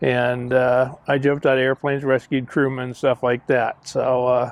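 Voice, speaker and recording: This man's pitch is medium. He talks at a moderate speed. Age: 60s. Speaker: museum director and war veteran. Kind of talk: interview storytelling. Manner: halting.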